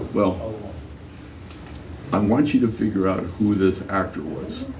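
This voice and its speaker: A man with an American accent, fairly low-pitched, at a fairly slow pace with ordinary pitch variation, plus audible room echo and noticeable background noise. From US West Coast, Catalina Island, California. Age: 70s. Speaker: local historian. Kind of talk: public talk. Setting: library talk with audience. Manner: halting.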